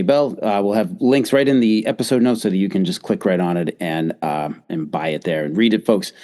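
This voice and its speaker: A man's voice, in an American accent, swings very widely in pitch. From Boston, US. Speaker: podcast host. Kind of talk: podcast interview.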